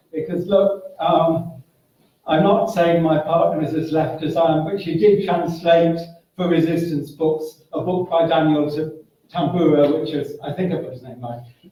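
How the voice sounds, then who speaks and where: With audible room echo, a man speaks at a moderate pace in a high pitch, his intonation fairly even but his loudness swinging widely. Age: 60s. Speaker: political activist. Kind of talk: meeting floor contribution. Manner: halting.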